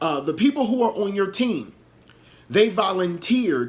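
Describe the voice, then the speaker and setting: In a lively intonation, a man speaks at a high pitch. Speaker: leadership speaker. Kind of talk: motivational talk. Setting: solo pre-recorded video. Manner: halting.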